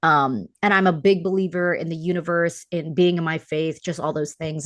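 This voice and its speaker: Over a quiet background, a woman with an American accent talks at a fairly quick pace and a fairly low pitch. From New York. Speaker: talent manager and founder. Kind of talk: casual chat. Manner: fast.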